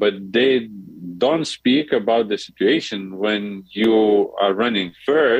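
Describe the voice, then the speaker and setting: A man speaks at a fairly low pitch. His pace is fairly slow, with ordinary pitch variation. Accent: Lithuanian. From Lithuania, small town near Vilnius. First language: Lithuanian. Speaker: diplomat. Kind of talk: interview. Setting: phone call. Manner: halting, repeats words.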